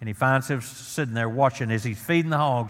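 This is a plain, everyday voice with ordinary pitch variation, speaking at a moderate pace. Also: man. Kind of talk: sermon. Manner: earnest, plain-spoken pulpit delivery with stumbles and restarts; warm, conversational, pleading at the invitation.

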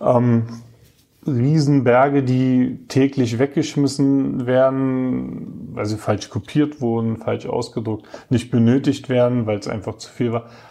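A man speaks very slowly at a medium pitch. His intonation is fairly even. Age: 30s. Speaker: staff council member. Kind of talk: interview.

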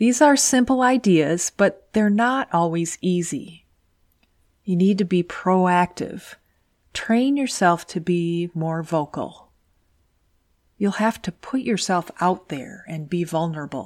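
Soft-spoken and lively in intonation, a woman talks at a very slow pace. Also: medium pitch for a woman. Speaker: podcast host and engineer career coach. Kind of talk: scripted podcast monologue.

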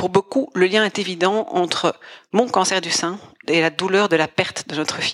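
Heard with a dry, close sound and no echo, a woman speaks in a plain, everyday voice at medium pitch, with ordinary pitch variation and a moderate pace. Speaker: storyteller. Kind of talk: scripted narration.

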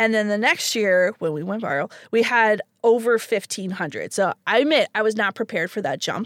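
A woman speaks at medium pitch and a moderate pace in a very clean recording with a silent background. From Canada. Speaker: library programs coordinator. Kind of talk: casual interview. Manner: animated.

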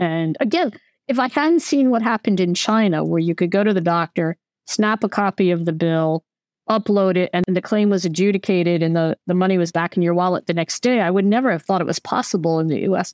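A normal speaking voice with an American accent, very even in loudness, at a fairly quick pace. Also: woman, medium pitch for a woman, ordinary pitch variation. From United States. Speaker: venture capital investor. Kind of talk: interview.

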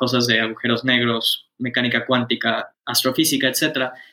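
A man's bright, sharp tone at a fairly slow pace. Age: 20s. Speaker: startup founder. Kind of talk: interview.

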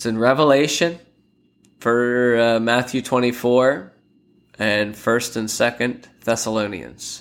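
Speaking at a very slow pace, a man with an American accent keeps his intonation fairly even. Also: medium pitch for a man, very clean recording, silent background. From Pennsylvania, Lancaster. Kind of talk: casual devotional monologue.

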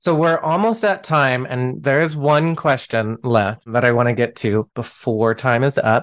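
A man's unremarkable speaking voice, medium in pitch, with very even loudness, lively intonation and a fairly slow pace over a quiet background. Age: 30s. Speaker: podcast host. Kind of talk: casual chat.

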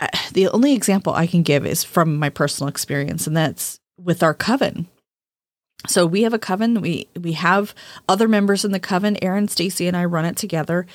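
A woman with a normal speaking voice talks at a fairly quick pace, her pitch fairly low with ordinary variation. The recording is very clean, with a silent background. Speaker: witchcraft podcast host and author. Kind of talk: casual conversational podcast discussion.

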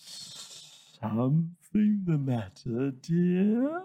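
In a put-on character voice, a man speaks high for a man with very wide pitch swings and audible hissing.

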